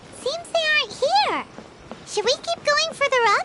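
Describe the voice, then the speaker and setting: In a put-on character voice, extremely high and squeaky, the speaker goes at a moderate pace with light background noise. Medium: video game. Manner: lively, forthright.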